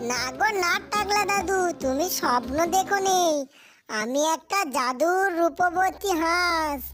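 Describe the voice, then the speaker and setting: A cartoonish character voice, female-sounding and extremely high in pitch, moves at a fairly slow pace. Music plays in the background. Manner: playful, teasing.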